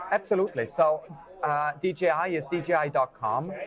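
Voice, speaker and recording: A man's voice with noticeable background noise. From Switzerland. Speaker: drone company director of education. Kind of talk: interview answer.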